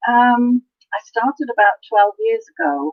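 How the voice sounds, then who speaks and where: With an English accent, a woman speaks fairly slowly in a fairly high voice that swings very widely in pitch. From Canada. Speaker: crafter, design team member. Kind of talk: interview.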